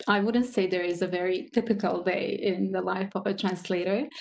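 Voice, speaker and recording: Speaking with a Croatian accent, a woman keeps a moderate pace. Her pitch is medium, with ordinary variation. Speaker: translator. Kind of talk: panel discussion.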